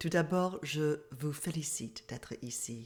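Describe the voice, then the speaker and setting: A woman with an English Canadian accent, her tone dark and mellow, her pitch very deep and low. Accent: English-speaking Canadian accent in French. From Canada. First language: English (speaking French). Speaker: mindfulness therapist and coach. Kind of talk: online masterclass talk.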